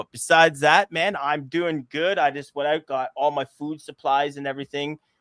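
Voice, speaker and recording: A man is speaking. His voice is loud. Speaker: airsoft podcast host. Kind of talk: casual podcast chat. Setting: live podcast recording.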